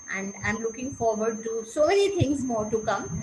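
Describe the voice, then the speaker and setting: A woman's fairly high voice at a moderate pace, with ordinary pitch variation, noticeable background noise and audible room echo. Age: 70s. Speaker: meditation participant, retired school counselor. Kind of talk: testimony. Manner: halting.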